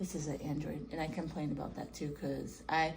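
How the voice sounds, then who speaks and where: A woman's voice comes with audible room echo. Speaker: Parkinson's patient with DBS implant. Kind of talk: casual chat.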